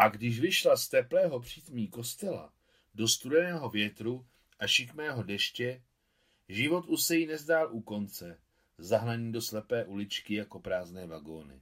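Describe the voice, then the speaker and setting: A man speaks at a fairly slow pace with a medium pitch. His pitch swings very widely. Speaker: audiobook narrator. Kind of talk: literary audiobook reading of a novel chapter. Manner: measured, even narrative pace with a storyteller's gravity.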